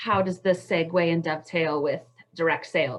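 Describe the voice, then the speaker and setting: She speaks with an American accent. The voice is a woman's. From Montana. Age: 40s. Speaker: direct sales entrepreneur. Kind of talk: panel talk on video call. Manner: fast.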